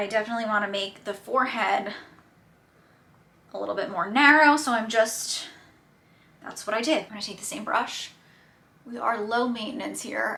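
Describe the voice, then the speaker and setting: With a strong New Jersey accent, a woman with a fairly high pitch speaks at a moderate pace with ordinary pitch variation, big swings in loudness and long, frequent pauses over noticeable background noise. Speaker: beauty YouTuber. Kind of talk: makeup tutorial chat. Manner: casual, chatty with many fillers.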